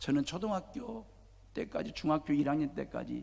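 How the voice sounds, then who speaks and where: A man speaks with lively intonation. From South Korea, Jeolla region. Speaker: pastor. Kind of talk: sermon.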